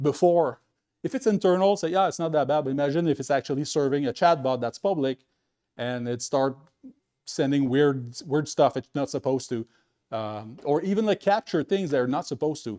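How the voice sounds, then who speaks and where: Dark, mellow tone from a fairly high-pitched man at a fairly quick pace, with ordinary pitch variation and a dry, close sound with no echo. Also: quiet background. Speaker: tech meetup speaker. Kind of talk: conference talk. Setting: meetup with live audience. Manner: fast.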